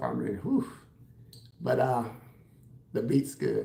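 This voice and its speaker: A man with an American accent speaks at a medium pitch and a moderate pace, his tone dark and mellow, with vocal fry. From Texas, San Antonio. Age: 60s. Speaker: hairstylist and livestreamer. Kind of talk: casual livestream chat answering comments. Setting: live stream at home while doing his hair.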